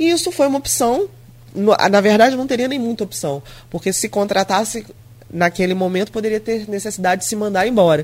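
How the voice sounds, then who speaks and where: In a normal speaking voice, a woman talks at a fairly quick pace with a fairly high pitch and lively intonation. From Brazil, São João da Barra (RJ), Grussaí. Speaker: mayor. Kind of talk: radio interview. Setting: radio studio.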